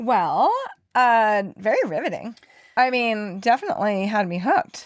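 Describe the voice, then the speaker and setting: In a normal speaking voice, a woman with a fairly high pitch speaks at a fairly slow pace with lively intonation. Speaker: podcast co-host. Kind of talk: casual podcast conversation.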